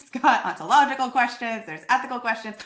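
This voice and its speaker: The voice has an animated delivery and a bright, sharp tone. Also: woman. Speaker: conference presenter on assessment. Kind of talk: presentation. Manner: fast.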